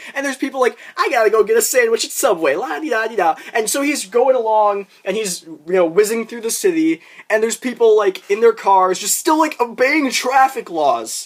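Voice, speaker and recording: The tone is animated, the pace fairly quick, and there are hardly any pauses. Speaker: YouTuber. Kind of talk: rant. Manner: fast.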